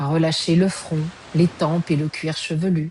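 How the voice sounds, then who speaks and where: A woman talks at a very slow pace with a fairly low pitch. Noticeable background noise sits behind her voice. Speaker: yoga nidra guide. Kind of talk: guided yoga nidra relaxation. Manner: slow, soft-spoken, calm.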